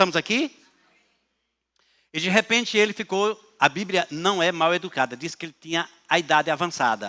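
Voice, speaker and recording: A man talks in a high pitch with lively intonation and a bright, sharp tone, leaving long, frequent pauses. The recording is very clean, with a silent background. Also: moderate pace. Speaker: pastor. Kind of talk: sermon.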